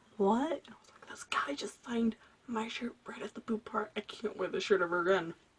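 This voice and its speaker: Noticeable background noise fills the recording. A woman talks over it. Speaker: vlogger. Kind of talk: casual storytelling vlog. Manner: loud; animated.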